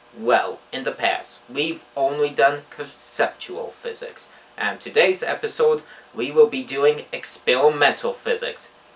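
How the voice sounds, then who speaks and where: Male speaker at a fairly slow pace, with noticeable background noise. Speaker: physics educator, presenter. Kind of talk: educational explainer to camera.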